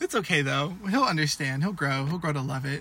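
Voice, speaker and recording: This man has an ordinary speaking voice and an American accent, pitched fairly high. He talks at a fairly quick pace with ordinary pitch variation. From Washington state, US. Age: 19. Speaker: podcast co-host, university student. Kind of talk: casual chat.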